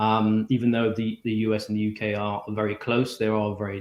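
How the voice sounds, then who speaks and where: Speaking at a fairly quick pace, a man with a British accent keeps a fairly low pitch and a monotone, flat intonation. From UK. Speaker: technology executive. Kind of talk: interview. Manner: hesitant, many ums.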